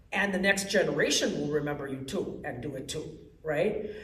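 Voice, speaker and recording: Over noticeable background noise and audible room echo, the speech moves at a fairly slow pace. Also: woman. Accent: American. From Wisconsin, Milwaukee. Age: 60s. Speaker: poet. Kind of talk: poetry reading. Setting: library event with audience.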